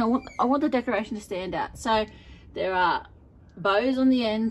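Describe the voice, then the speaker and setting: A woman talks with an Australian accent and lively intonation. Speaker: home gardener vlogger. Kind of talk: casual vlog. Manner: fast.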